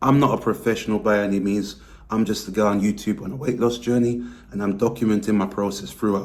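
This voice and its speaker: A man speaks with a British accent at a fairly quick pace. His pitch sits in the medium range. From Britain. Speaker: weight loss vlogger. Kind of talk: vlog monologue.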